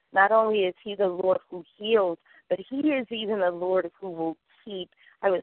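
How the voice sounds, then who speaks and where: A woman speaks in a plain, everyday voice at a medium pitch and moderate pace, with fairly even intonation. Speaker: healthcare worker. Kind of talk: testimony. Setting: phone call.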